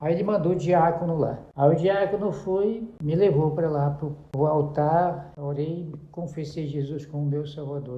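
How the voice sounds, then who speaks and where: A man speaks at a fairly slow pace. Audible room echo and noticeable background noise come through. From Brazil, Pará (interior, Juruti). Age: 70s. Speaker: pastor. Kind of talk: interview, life story testimony. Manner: halting, with self-corrections.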